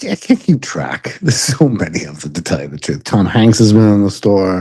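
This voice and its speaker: A man with a New York accent speaks at a fairly quick pace in a dark, mellow tone, his fairly low pitch carried by lively intonation and big swings in loudness. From Long Island, New York. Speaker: podcast co-host, bike shop worker. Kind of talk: casual chat. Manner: halting, many fillers.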